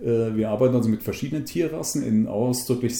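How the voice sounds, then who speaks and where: A man speaks with a dark, mellow tone. His medium pitch shows ordinary variation. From central Hesse, Germany. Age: 60s. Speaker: conservationist. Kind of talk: interview.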